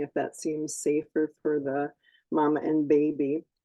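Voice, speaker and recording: A woman is talking. Her voice sits very deep and low. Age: 70s. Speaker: midwife. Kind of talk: panel talk.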